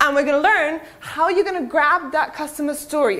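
A woman with a British accent at a high pitch and a fairly quick pace. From Serbia, raised partly in the UK from age 12. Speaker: digital marketing speaker. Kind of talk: conference talk. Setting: stage with audience. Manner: casual, filler-heavy. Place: hall.

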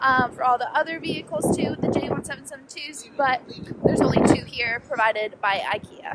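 A fairly quick pace, ordinary pitch variation, dry sound with no echo, and loud background noise. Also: woman. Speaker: vlogger. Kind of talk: casual vlog chat. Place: street. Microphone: phone near.

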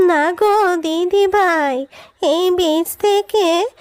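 A woman does a cartoonish character voice at an extremely high pitch and a very slow pace, with a dry, close sound and no echo. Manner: gentle, affectionate.

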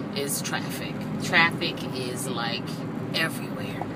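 A woman speaks with an American accent. There is loud background noise. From Southampton, New York, USA. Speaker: vlogger, local guide to the Hamptons. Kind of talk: casual talk to camera. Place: car. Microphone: phone near.

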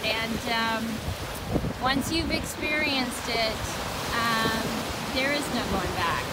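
Over loud background noise, the speech comes at a very slow pace with a dry sound and no echo. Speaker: vlogger. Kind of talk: reflective personal vlog talk. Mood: calm, reflective, hesitant. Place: beach. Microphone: phone near.

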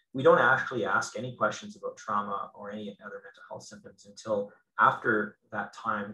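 A man with a Canadian accent talks at a fairly quick pace. There is audible room echo. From northwestern Ontario, Canada. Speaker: clinical psychologist and professor. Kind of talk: Q&A answers; lecture. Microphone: video call.

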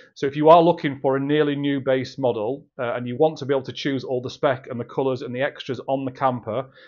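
The background is quiet. A man talks very fast with fairly even intonation. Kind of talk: sales update talk to camera. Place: office. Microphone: phone near.

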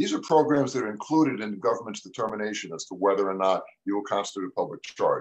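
At a very fast pace, a man speaks with a quiet background. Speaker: immigration attorney; guest. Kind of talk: live radio talk show; explanatory panel talk. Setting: video call. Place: home room. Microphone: video call.

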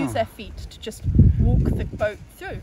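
Against loud background noise, a woman talks at a fairly quick pace in a dry sound with no echo. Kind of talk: interview answer. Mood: friendly, informative. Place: waterside.

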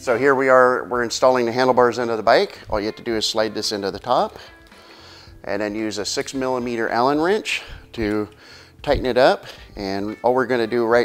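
Faint background music runs beneath a man who speaks fairly quickly. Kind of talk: tutorial. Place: shop.

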